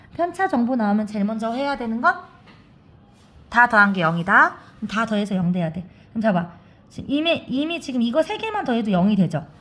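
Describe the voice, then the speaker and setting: A woman with a fairly high voice talks at a fairly quick pace with very wide pitch swings, over noticeable background noise. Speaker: math teacher. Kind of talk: tutorial. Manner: fast.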